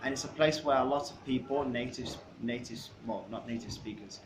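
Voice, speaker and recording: A man at medium pitch and moderate pace, fairly even in intonation, with audible room echo. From England and China. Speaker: English teacher. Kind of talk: self-introduction monologue.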